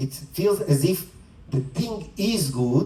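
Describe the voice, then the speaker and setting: Through noticeable background noise, a man with a non-native accent speaks with ordinary pitch variation. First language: not English. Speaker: spiritual teacher. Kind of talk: dharma talk. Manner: conversational.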